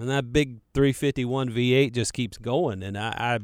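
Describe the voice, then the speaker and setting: With a Carolina accent, this man talks at a moderate pace in a medium pitch and fairly even intonation. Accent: Southern US, Carolina. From Charlotte, North Carolina. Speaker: radio host. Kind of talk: casual radio talk, answering listener questions. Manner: rambling, casual, many filler words.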